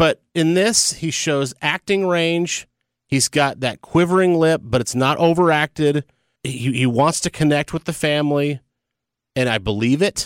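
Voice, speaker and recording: A man with an ordinary speaking voice and fairly high pitch speaks fairly slowly with ordinary pitch variation, in a dry, close sound with no echo on a very clean recording with a silent background. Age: 40s. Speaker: film podcast co-host, radio veteran. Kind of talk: casual chat.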